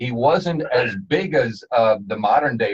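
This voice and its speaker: A man with an American accent sounds somewhat breathy. His intonation is lively. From New Jersey. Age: 60s. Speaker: radio host. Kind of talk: radio interview. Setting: studio.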